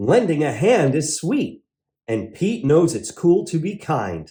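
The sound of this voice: A man speaks slowly at a fairly high pitch, with big pitch swings and a dark, mellow tone.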